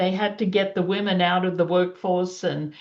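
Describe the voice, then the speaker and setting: With an Australian accent, this woman talks at a mid-range pitch. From Australia, child of Yugoslav immigrants. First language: Yugoslavian (English is third language). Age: 70s. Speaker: panelist. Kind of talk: personal testimony.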